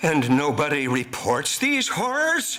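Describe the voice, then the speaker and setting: Someone uses a put-on character voice, delivered at a fairly slow pace. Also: man. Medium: stage play.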